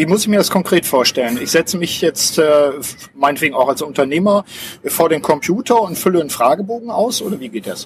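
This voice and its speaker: Very fast, lively speech from a high-pitched man, with noticeable background noise. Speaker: podcast host and coach. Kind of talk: interview. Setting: outdoors on a public square.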